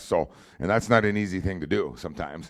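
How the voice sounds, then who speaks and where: Vocal fry runs through this man's speech. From North Dakota. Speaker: football coach. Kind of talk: press conference remarks. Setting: media day event with audience.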